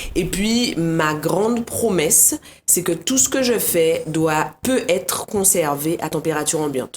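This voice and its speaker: Speaking very slowly, a woman with a Guadeloupean accent uses lively intonation at a fairly low pitch. Her loudness stays very even, with noticeable background noise behind her. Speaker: cake designer. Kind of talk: casual interview chat.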